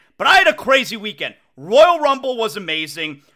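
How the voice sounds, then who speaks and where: A man uses a raised, projected voice with a bright, sharp, animated tone. He keeps a moderate pace while his pitch swings very widely. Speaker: sports radio host. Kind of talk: casual chat. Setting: home studio. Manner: loud.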